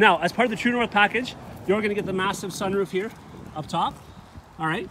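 A man's high-pitched voice, dry with no echo. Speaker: car salesman reviewer. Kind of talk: vehicle walkaround presentation. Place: open country. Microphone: phone near.

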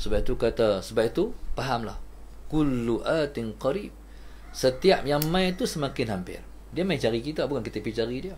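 Light background noise behind a man talking at a moderate speed. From Malaysia. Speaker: religious teacher. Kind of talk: religious lecture. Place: home room.

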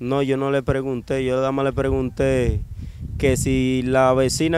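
A man speaks at a moderate pace. The sound is dry with no echo, though noticeable background noise is present. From Dominican Republic, Cibao (Bonao); Cibao, Dominican Republic. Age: 20s. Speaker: kidnapping survivor; interviewee. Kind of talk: interview testimony. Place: street. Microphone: handheld.

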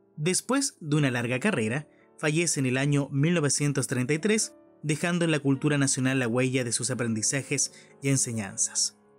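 A man speaks at a fairly high pitch. Music plays in the background. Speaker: radio announcer. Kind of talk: audio description of an artwork, museum podcast narration.

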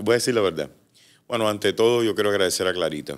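Here a man speaks with ordinary pitch variation. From Cuba. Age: 40s. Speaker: entertainer; interview guest. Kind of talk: casual interview. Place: studio. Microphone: studio mic.

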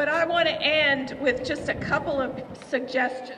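Light background noise sits behind a woman with an American accent. She talks at a moderate pace in a high-pitched, warm tone. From West Virginia. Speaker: state legislator. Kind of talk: rally speech to a crowd. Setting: outdoor rally, crowd. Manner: earnest, rousing; warm, emotional. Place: street. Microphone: podium.

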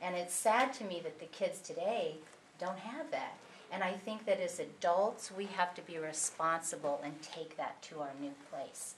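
Against noticeable background noise, a woman with an American accent speaks at medium pitch and a moderate pace, with ordinary pitch variation. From Southern California. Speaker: audience member. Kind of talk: audience comment.

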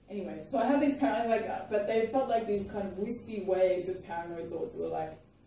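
Strong room echo surrounds a woman speaking fast at medium pitch. Her dark, mellow tone carries vocal fry and ordinary pitch variation.

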